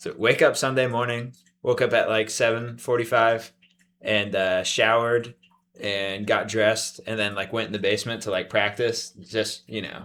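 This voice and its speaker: The voice has a bright, sharp tone with monotone, flat intonation at a moderate pace on a very clean recording with a silent background. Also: man, medium pitch for a man. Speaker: podcast co-host. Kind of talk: casual chat.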